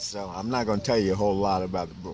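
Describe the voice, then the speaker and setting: Amid noticeable background noise and audible room echo, a man with an American accent speaks at a very fast pace with a fairly low pitch. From New York City, Harlem. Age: 60s. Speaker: homeless author. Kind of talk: interview. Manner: halting.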